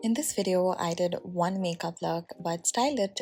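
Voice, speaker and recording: The talking proceeds at a moderate pace. Behind it, there is music in the background. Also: woman. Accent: Bengali. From India, Assam. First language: Bengali. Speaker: beauty vlogger. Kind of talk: makeup tutorial.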